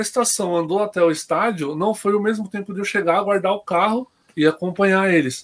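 A man's high-pitched voice. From Greater São Paulo (ABC region), Brazil. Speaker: football supporter. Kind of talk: casual chat. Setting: online live stream.

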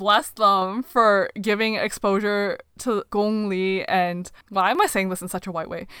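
A woman speaks with a Canadian accent at a fairly slow pace in an ordinary speaking voice, her medium pitch and fairly even intonation caught on a very clean recording with a silent background. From Canada. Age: young. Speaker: podcast co-host. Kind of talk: casual chat.

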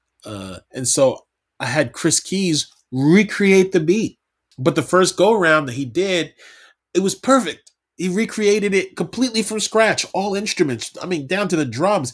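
A man with an American accent, high-pitched, with lively intonation at a fairly slow pace, in a very clean recording with a silent background. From Brooklyn, New York. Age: 40s. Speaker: hip-hop artist. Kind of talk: casual interview.

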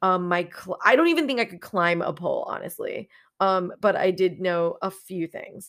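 At a moderate pace, a woman with an ordinary speaking voice talks at a medium pitch in a very clean recording with a silent background. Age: 30s. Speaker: podcast host, exotic dancer and pole instructor. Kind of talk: personal storytelling monologue.

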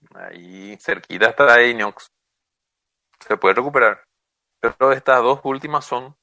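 Recorded dry and close with no echo, a man speaks at a fairly slow pace in a bright, sharp tone. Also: long, frequent pauses, big swings in loudness. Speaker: radio show co-host. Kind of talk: casual radio chat.

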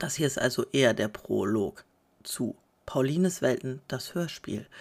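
A woman talks fairly slowly. Her very clean recording has a silent background. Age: 30s. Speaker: podcaster and mother of five. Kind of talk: casual monologue.

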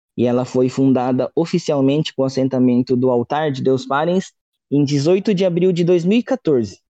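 At a moderate pace, a man speaks in a fairly high pitch with a dark, mellow tone and ordinary pitch variation, the sound dry and close with no echo. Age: 30s. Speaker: religious missionary. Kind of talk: interview.

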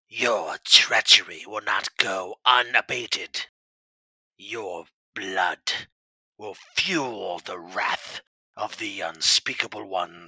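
A raspy, low-pitched put-on character voice moves at a very slow pace. Long pauses come often. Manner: menacing.

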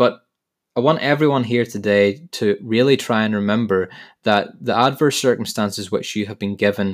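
On a very clean recording with a silent background, a man with a Northern Irish accent speaks at a moderate pace and a medium pitch with ordinary pitch variation. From Northern Ireland. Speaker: podcast host. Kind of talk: motivational monologue.

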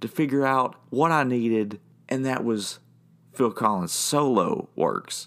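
At a medium pitch and a fairly slow pace, a man uses a normal speaking voice. The recording is very clean, with a silent background. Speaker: podcast host and band member. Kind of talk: monologue podcast episode.

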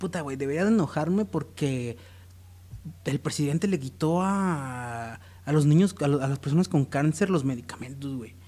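A man's fairly high voice, somewhat breathy, with lively intonation at a moderate pace, on a very clean recording with a silent background. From Mexico, Jalisco. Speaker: podcast co-host. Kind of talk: casual chat.

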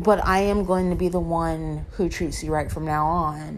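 Audible room echo surrounds a woman's voice. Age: 30s. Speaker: podcast host. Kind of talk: casual solo monologue.

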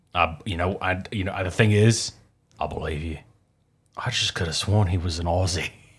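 A man's very deep, low voice, somewhat breathy, with fairly even intonation, a moderate pace and long, frequent pauses, on a very clean recording with a silent background. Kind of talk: casual chat. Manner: joking.

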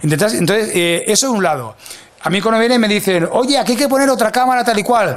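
An animated tone and lively intonation drive this fairly quick delivery, with very even loudness. Noticeable background noise is present. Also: man, high pitch for a man. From Catalonia, Spain (Mataró). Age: 40s. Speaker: video producer. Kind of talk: interview. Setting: studio.

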